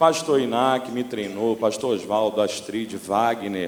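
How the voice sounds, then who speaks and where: A man speaks with a Rio de Janeiro accent and ordinary pitch variation. Noticeable background noise and audible room echo are present. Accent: Rio de Janeiro (carioca). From Brazil, Rio de Janeiro (Baixada Fluminense). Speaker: pastor. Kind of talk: sermon. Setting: church. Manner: animated.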